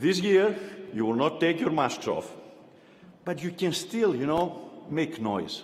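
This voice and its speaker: A man with a non-native accent speaks at a high pitch and fairly slow pace, pausing long and often. Audible room echo and noticeable background noise come through. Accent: foreign. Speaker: university chancellor. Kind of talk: commencement speech. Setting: arena with audience.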